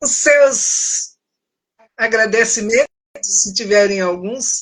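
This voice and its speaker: Pitch rises and falls in an ordinary way while the words come out very slowly. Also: woman, fairly high pitch for a woman. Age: 70s. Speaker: author and speaker on self-esteem. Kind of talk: live stream conversation. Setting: Instagram live.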